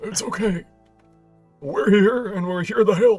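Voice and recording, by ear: A man's put-on character voice, high in pitch and fairly slow, with faint music in the background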